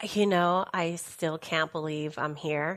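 A woman's very deep, low voice with a Spanish accent, on a very clean recording with a silent background. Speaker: workplace safety professional. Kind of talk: interview.

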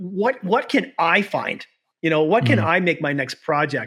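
This man speaks in an ordinary speaking voice with a Canadian accent, his pitch fairly high, his pace moderate and his intonation lively. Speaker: podcast host and urban explorer. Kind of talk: casual interview chat; scripted podcast outro.

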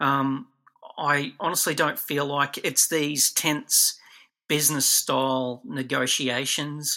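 An Australian-accented man's fairly high, bright and sharp voice at a very slow pace, with fairly even intonation and very even loudness. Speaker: toy collector and figure producer. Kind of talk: interview.

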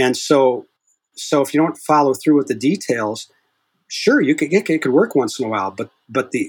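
With a normal speaking voice, a man talks at a moderate pace and a fairly high pitch, his intonation lively. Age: 60s. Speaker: hypnotist. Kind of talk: casual interview.

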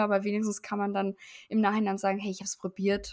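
A woman speaks at a fairly high pitch. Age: 20s. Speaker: podcast co-host, physician assistant student. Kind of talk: casual chat.

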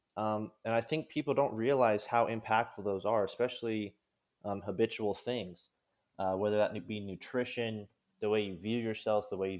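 With an American accent and an ordinary speaking voice, a man talks at a moderate pace and a fairly low pitch, with fairly even intonation, in a very clean recording over a silent background. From Kansas. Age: 20s. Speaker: college athlete and strength coach. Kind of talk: casual chat.

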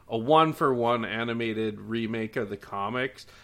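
A man with a Minnesota accent, medium-pitched with a bright, sharp tone, on a very clean recording with a silent background. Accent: Minnesota-style Upper Midwest. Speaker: podcast guest. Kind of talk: casual chat.

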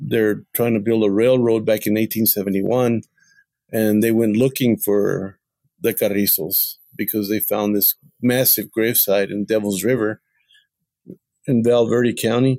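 A man with an American accent speaks at a medium pitch in a flat monotone, his loudness very even throughout. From Texas. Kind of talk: interview. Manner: halting.

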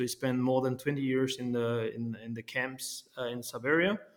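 Speaking in a French accent, a man at medium pitch keeps a moderate pace with monotone, flat intonation. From France. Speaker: company founder. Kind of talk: interview. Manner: halting.

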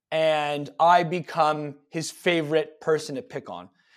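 A man with a Canadian accent, on a very clean recording against a silent background. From Canada, Toronto suburbs. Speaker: fitness coach. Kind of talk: casual interview chat. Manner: hesitant, many fillers.

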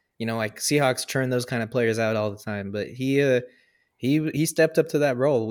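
With an American accent, a man of medium pitch speaks at a fairly quick pace with fairly even intonation in an unremarkable speaking voice, in a very clean recording with a silent background. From US Pacific Northwest. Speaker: sports podcast co-host. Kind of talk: casual chat.

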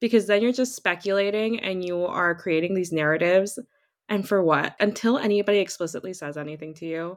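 Her voice is a plain, everyday voice, at medium pitch with ordinary variation. The woman speaks at a fairly quick pace on a very clean recording with a silent background. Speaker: podcast host.

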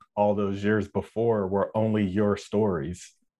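Against a quiet background, a man with an American accent speaks fairly slowly in an unremarkable speaking voice, his pitch fairly low. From Minneapolis, Minnesota. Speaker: Air Force veteran, podcast panelist. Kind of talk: roundtable discussion. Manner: frequent filler words (uh).

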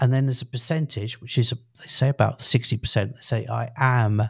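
A man with a British accent speaks at a fairly quick pace in a medium pitch. His voice is somewhat breathy and his intonation fairly even. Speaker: podcast co-host. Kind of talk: casual chat.

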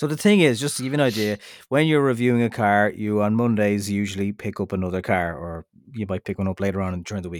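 On a very clean, dry, close recording with a silent background and no echo, a man talks at a very fast pace in a fairly low pitch with ordinary pitch variation. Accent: Irish. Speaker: motoring podcast host and radio presenter. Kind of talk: casual chat.

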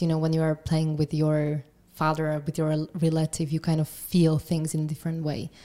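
Her voice very deep and low with a dark, mellow tone, a woman speaks at a moderate pace. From Slovakia, Trenčín. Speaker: singer-songwriter. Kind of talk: interview.

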